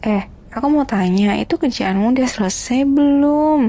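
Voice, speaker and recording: A woman speaks at a fairly slow pace in a fairly high pitch. Her pitch varies in an ordinary way, and there is noticeable background noise. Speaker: ASMR roleplayer playing a grumpy wife. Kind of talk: heated argument, roleplay. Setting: roleplay with the listener as her partner, meant for earphones. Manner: irritable, sulky, snappy; whiny, petulant, bickering.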